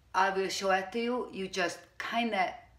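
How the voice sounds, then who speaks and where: A woman with a Hungarian accent at medium pitch, talking at a very slow pace amid audible room echo. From Hungary. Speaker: furniture painter. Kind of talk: tutorial. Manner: casual, hesitant.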